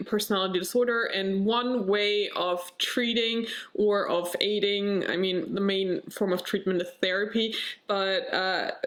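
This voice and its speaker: Noticeable background noise and audible room echo accompany a woman of medium pitch who speaks at a moderate pace with fairly even intonation. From Germany. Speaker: vlogger. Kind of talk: personal vlog. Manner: halting, searching for words.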